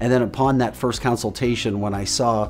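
Faint music plays in the background as a man talks at a very fast pace with ordinary pitch variation. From St. Louis area, USA. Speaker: television news anchor. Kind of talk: customer testimonial to camera. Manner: conversational, sincere. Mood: upbeat, satisfied. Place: office. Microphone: lapel.

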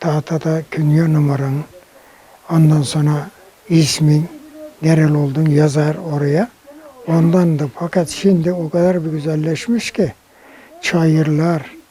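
A man speaks very slowly in a fairly high pitch with fairly even intonation. Long, frequent pauses break up his speech, and there is noticeable background noise. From Bucak, Burdur, Turkey. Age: 80s+. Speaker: Korean War veteran. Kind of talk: interview answer.

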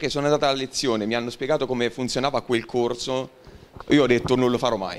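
A man speaks at a very fast pace and a medium pitch. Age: 20s. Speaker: university student and young professional; guest. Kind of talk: talk to school assembly. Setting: school assembly hall with audience. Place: hall. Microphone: handheld.

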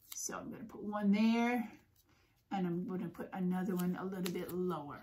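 At a moderate pace, a woman speaks in a somewhat breathy voice. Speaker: puppet craft teacher. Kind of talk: tutorial. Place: home room. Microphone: phone near.

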